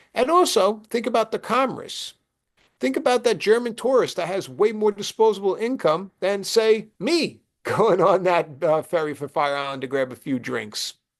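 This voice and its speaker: Over a quiet background, a high-voiced man with a Brooklyn accent talks at a moderate pace in an animated tone, his pitch swinging very widely. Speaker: presenter. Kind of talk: presentation. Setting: video call.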